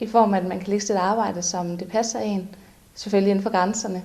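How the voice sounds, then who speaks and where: Somewhat breathy and at medium pitch, a woman talks at a fairly quick pace with fairly even intonation, and audible room echo surrounds her. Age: 20s. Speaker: cleaning company employee. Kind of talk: employee testimonial interview.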